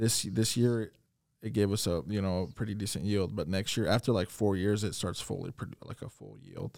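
A plain, everyday voice: a man with an American accent, fairly low pitch, ordinary pitch variation and a fairly quick pace. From Iowa, small town. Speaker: coffee entrepreneur. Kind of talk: interview.

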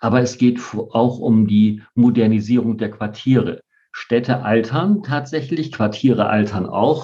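At a fairly slow pace, a man speaks with a dark, mellow tone and ordinary pitch variation. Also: medium pitch for a man. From Bremen. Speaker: party politician. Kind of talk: interview.

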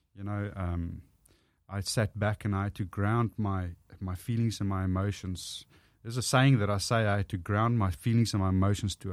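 In a strong Afrikaans South African accent, a man talks at a moderate pace in a fairly low pitch with fairly even intonation, on a very clean recording with a silent background. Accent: thick Afrikaans South African English. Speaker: motivational speaker and former rugby player. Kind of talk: casual interview chat.

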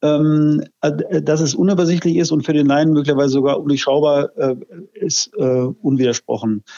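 In a normal speaking voice, a man talks at a moderate pace with a fairly high pitch, fairly even intonation and very even loudness. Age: 50s. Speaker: health IT company director. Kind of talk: interview.

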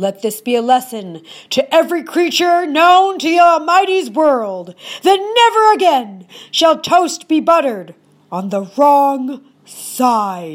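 Using a put-on character voice, a woman speaks high-pitched at a fairly slow pace, her pitch swinging very widely. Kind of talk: mock-solemn folktale decree. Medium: read story. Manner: solemn, matter-of-fact, pronouncing.

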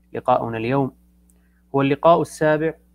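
A man is speaking. His tone is calm. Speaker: club moderator. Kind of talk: formal introduction. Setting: live stream. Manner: formal.

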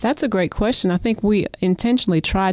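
A woman talks with an Oklahoma accent and ordinary pitch variation. There is noticeable background noise. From Oklahoma City. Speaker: community volunteer. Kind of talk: casual chat. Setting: studio.

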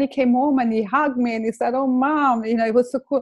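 Speaking with an Italian accent, a woman talks at a fairly quick pace in a high pitch. The background is quiet. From Italy, Lake Como. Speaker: complementary therapist. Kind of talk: personal testimony in interview.

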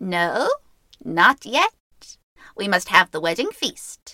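Using a put-on character voice, a woman talks at a medium pitch. Her pace is fairly slow. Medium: read story. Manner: sly, cackling, bossy.

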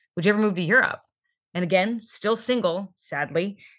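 On a very clean recording with a silent background, a woman with a normal speaking voice and an American accent talks at a moderate pace with ordinary pitch variation. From Northern California. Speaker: insurance professional. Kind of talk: casual interview.

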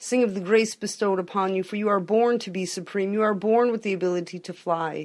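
A woman's medium-pitched voice, fairly even in intonation, an ordinary speaking voice, on a very clean recording with a silent background. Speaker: poet. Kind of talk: poetic spoken word, reading aloud.

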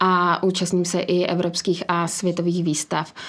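Her intonation is monotone and flat. This woman's pitch sits at a medium level. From Czechia, village near Příbram. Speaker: business executive and dog breeder. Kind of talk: interview.

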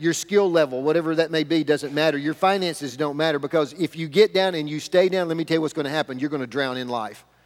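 A man talks at a fairly quick pace in a Southern US accent. His pitch is fairly high, with ordinary pitch variation. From US South (rural). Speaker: pastor. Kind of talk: sermon. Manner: animated.

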